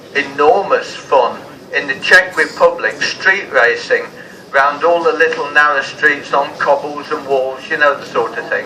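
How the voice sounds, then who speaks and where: A man with an English accent at a fairly slow pace, over noticeable background noise. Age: 70s. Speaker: vintage motorcycle racer. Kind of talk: interview. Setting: outdoors. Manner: animated.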